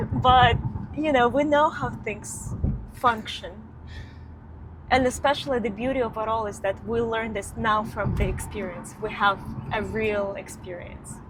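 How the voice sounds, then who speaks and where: With audible room echo, a woman with a fairly high pitch speaks at a fairly slow pace, using ordinary pitch variation and long, frequent pauses. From Ukraine. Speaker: company founder, vlogger. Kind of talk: casual chat.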